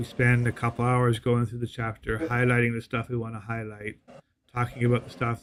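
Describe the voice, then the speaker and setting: At a fairly quick pace, a man speaks at a medium pitch in a monotone, flat delivery. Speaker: podcast co-host planning a show. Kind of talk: casual chat. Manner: halting, many repeated words.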